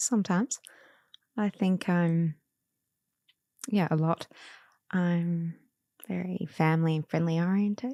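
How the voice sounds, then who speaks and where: A woman with an Australian accent and a fairly low pitch speaks fairly slowly with long, frequent pauses, ordinary pitch variation and a dark, mellow tone, in a dry, close sound with no echo. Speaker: cancer patient guest. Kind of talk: casual interview. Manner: loud.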